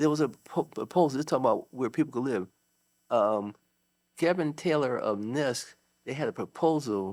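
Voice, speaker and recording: On a very clean recording with a silent background, a man with an American accent speaks at medium pitch with lively intonation. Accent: inner city. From US Northeast, Waterbury, Connecticut. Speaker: judge and author. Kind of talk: casual chat. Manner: halting, many fillers.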